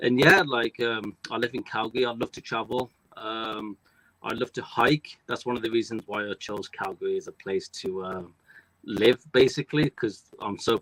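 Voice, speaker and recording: A man with a British accent speaks at medium pitch and a moderate pace in a bright, sharp tone. The recording is very clean, with a silent background and a dry, close sound with no echo. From United Kingdom. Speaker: front desk worker and online entrepreneur. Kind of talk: interview. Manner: casual, many fillers.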